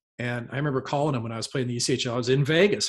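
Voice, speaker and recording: A man with an American accent talks very fast, sounding somewhat breathy. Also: quiet background. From US Midwest, St. Louis area. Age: 30s. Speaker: retired hockey goalie. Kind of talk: casual chat.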